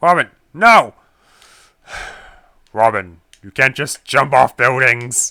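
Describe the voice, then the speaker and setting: A man with a medium pitch does a gravelly put-on character voice with lively intonation at a fairly slow pace. He leaves long, frequent pauses, and the recording is very clean with a silent background. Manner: terrible, exaggerated.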